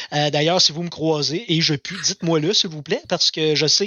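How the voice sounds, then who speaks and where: This man speaks at a moderate pace, his fairly high voice held to a fairly even intonation. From Quebec, Abitibi. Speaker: community radio host. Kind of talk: casual chat. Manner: halting, repeats words.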